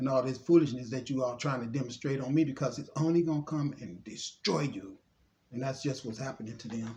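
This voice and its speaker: Somewhat breathy and dark, mellow in tone, a man speaks at a medium pitch. His pace is fairly quick, with ordinary pitch variation. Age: 60s. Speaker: spiritual vlogger. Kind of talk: monologue mixing reading aloud and commentary.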